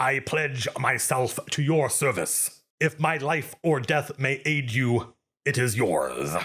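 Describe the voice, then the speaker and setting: In a put-on character voice, a man sounds raspy at a medium pitch and speaks at a fairly slow pace. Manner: solemn, pledging service.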